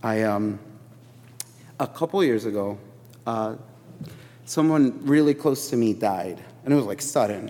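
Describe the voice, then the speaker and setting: A man with an American accent, medium-pitched with a dark, mellow tone, lively intonation, a fairly slow pace and long, frequent pauses. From Chicago. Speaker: preacher. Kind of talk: sermon. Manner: casual, filler-heavy.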